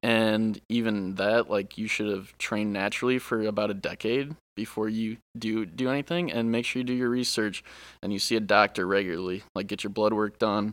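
Recorded very cleanly against a silent background, a man with a fairly low pitch talks at a fairly quick pace with fairly even intonation. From Ohio, US Midwest. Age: 20s. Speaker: bodybuilder guest. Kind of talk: casual interview chat.

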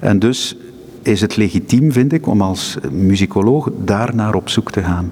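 Very slowly and at very even loudness, a man with a fairly low pitch speaks with ordinary pitch variation against noticeable background noise. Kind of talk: interview. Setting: crypt of a seminary, echoing room.

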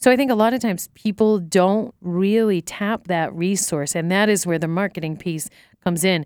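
Fairly quick speech with a dry, close sound and no echo. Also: woman. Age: 50s. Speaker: podcast host. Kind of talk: casual chat. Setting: studio. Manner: animated.

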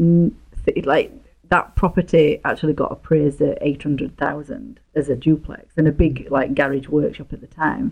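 A woman with a Yorkshire accent speaks at a fairly slow pace in a very deep, low voice, her intonation lively, with music playing in the background. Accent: broad Yorkshire English. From northern England, near Leeds. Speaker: real estate investor. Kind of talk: casual interview.

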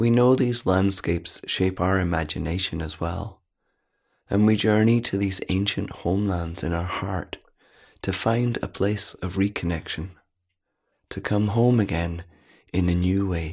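Very deep and low in pitch, a man speaks at a fairly slow pace with long, frequent pauses. His intonation is fairly even, on a very clean recording with a silent background. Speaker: prayer reader. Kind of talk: reading aloud.

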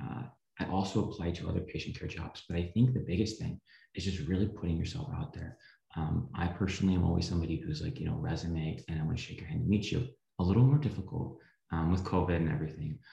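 A man with an American accent speaks at a very fast pace, his pitch very deep and low and his tone dark and mellow. His intonation is lively and his voice somewhat breathy. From US Midwest, rural Missouri. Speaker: physician assistant student. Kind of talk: interview.

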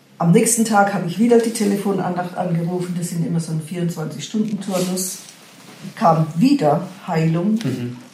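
Against noticeable background noise and audible room echo, a woman talks at a moderate pace. Her pitch is medium, with ordinary variation. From Karlsruhe area, Baden, Germany. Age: 60s. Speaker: retiree telling her faith story. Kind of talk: testimony.

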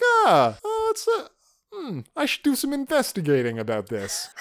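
Someone speaks at a fairly slow pace in a put-on character voice with a British accent.

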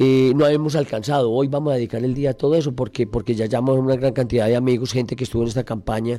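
Talking at a very fast pace, a man has a medium pitch and a dark, mellow tone. His intonation stays fairly even and his loudness very even. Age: 60s. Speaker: politician. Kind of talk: radio interview. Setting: radio studio.

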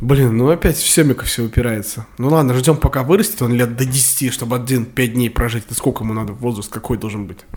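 At a fairly quick pace with hardly any pauses, a man speaks at medium pitch with ordinary pitch variation over noticeable background noise. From Russia, Samara. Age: 20s. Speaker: podcast co-host. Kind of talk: casual chat. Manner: animated, fast.

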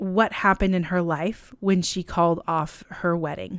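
On a very clean recording with a silent background, a woman with an American accent speaks at a medium pitch in an animated tone. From California. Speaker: podcast host. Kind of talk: casual interview chat. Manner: animated, laughs often.

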